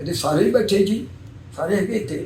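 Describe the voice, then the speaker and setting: A man with a high voice talks, his pitch moving in an ordinary way. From Punjab, Pakistan (Kasur district). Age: 80s+. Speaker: 1947 Partition migrant. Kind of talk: interview answer.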